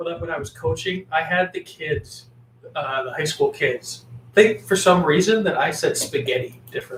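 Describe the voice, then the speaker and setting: A man's high-pitched voice with a slight Canadian accent. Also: lively intonation, moderate pace. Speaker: podcast co-host, former coach. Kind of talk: casual chat.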